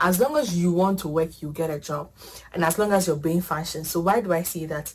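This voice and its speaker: Over noticeable background noise, a woman speaks at a fairly quick pace with fairly even intonation. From Ghana. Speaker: international student. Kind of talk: casual chat.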